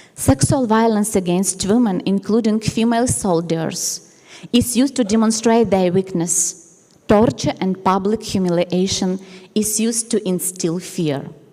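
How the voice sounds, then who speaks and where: Over noticeable background noise, the speaker talks at a fairly slow pace with ordinary pitch variation. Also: woman, medium pitch for a woman. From Ukraine. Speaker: nun. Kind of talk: conference talk. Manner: formal.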